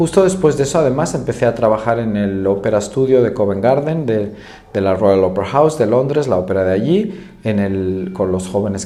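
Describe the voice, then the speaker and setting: Lively intonation and a moderate pace come through audible room echo and noticeable background noise. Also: man, hardly any pauses. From Spain, Madrid. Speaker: choral conductor and vocal teacher. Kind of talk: interview.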